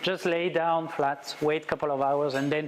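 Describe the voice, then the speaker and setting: The speaker has a French accent and fairly even intonation. Noticeable background noise runs underneath. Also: man. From France. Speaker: wildlife photographer. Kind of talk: presentation talk. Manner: halting.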